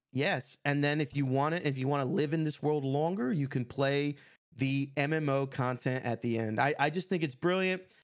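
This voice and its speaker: The very clean recording with a silent background carries a man's plain, everyday voice, fairly high in pitch, with very even loudness, ordinary pitch variation and a moderate pace. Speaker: gaming podcast co-host. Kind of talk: casual chat.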